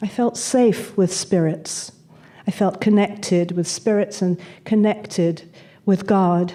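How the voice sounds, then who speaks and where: Speaking very slowly in a British accent, a woman has a dark, mellow tone, medium pitch, fairly even intonation and very even loudness. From England (Manchester, London). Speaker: speaker on spirituality and death. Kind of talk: talk to an audience, personal storytelling.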